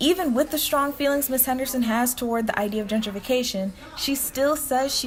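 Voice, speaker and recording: Against noticeable background noise, a woman with an American accent talks at a fairly quick pace with ordinary pitch variation. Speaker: student journalist, news reporter. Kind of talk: news reporter piece to camera, broadcast-style narration.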